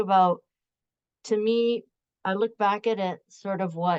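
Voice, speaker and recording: At a fairly slow pace, a woman speaks at medium pitch. Her pitch variation is ordinary. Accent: Canadian. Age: 60s. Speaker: professor. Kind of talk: panel discussion. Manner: casual, halting with repetitions.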